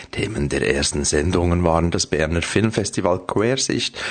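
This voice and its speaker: Lively intonation in a very deep, low male voice. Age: 50s. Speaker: radio show producer. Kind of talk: scripted radio segment.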